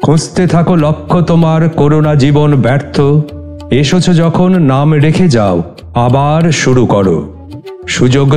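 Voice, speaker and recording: With music playing behind him, a man speaks in a fairly high pitch with ordinary pitch variation. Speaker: poet and reciter of his own poems. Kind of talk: poetry reading.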